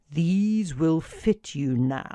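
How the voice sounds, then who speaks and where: A woman puts on a character voice at a fairly low pitch. Her intonation is lively. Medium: read story. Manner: calm, few words.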